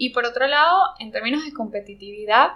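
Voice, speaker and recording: A woman talks with lively, bouncing intonation. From Venezuela, Margarita Island. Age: 30s. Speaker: ceramicist. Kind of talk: casual interview. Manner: halting, many fillers. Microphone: poor sound quality.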